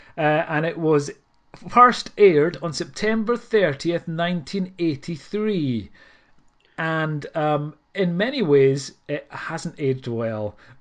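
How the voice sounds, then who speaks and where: In a Scottish accent, a man speaks at a very slow pace with a fairly high pitch and lively intonation, over a quiet background. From Scotland. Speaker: podcast host. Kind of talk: casual chat. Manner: hesitant, many fillers.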